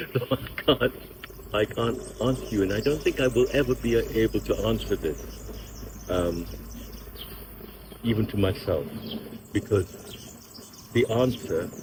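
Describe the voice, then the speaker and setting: Long, frequent pauses break up this man's speech. Noticeable background noise runs underneath. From England (Thai-born, partly France). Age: 70s. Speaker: Tai Chi and meditation teacher. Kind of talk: interview. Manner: halting; reflective, slow. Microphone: bad sound, mics didn't work.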